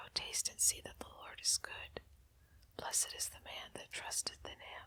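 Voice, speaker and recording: Whispered speech comes through with noticeable noise behind it. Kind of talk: whispered Bible reading for sleep. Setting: fireside with crackling fire and candlelight. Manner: whispered, soft, quiet.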